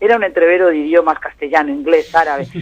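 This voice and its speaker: This man's voice sits fairly high in pitch. He talks at a very fast pace. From Spain. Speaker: professor and Middle East analyst, translator of Arabic. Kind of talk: radio interview.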